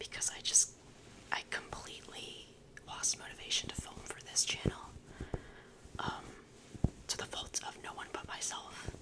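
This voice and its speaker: Long, frequent pauses break up a moderately paced whisper, with noticeable background noise underneath. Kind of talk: ASMR oracle card reading, casual talk to camera. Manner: whispered, soft-spoken.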